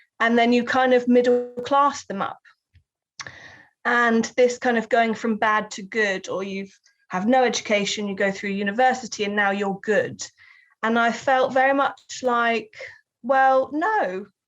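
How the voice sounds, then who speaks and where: With a Southern English accent, the speaker goes at a fairly slow pace with fairly even intonation and long, frequent pauses. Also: woman, fairly high pitch for a woman. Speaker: writer and researcher. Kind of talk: interview.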